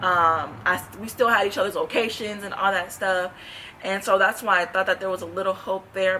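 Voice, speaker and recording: Fairly quick speech from a woman at medium pitch, with ordinary pitch variation and noticeable background noise. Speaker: gospel singer and vlogger. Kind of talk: testimony. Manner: fast.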